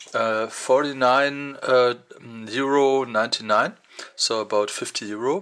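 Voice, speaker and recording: The speaker has a non-native accent. The delivery is fairly slow. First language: German. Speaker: tech reviewer. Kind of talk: unboxing video. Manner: halting, many fillers.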